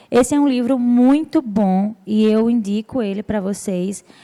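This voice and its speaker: This woman's voice has a dark, mellow tone. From Brazil, interior of Rio Grande do Norte (Açu, sertão). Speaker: church speaker at women's gathering. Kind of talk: sermon-style talk.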